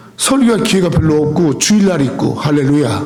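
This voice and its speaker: Lively intonation comes at a moderate pace, with noticeable background noise and audible room echo. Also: man. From South Korea. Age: 60s. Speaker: pastor. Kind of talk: sermon. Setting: church.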